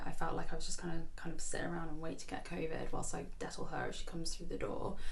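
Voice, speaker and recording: There is noticeable noise in the background while a woman speaks very fast. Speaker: filmmaker. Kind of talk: casual film introduction. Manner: hesitant, filler-heavy.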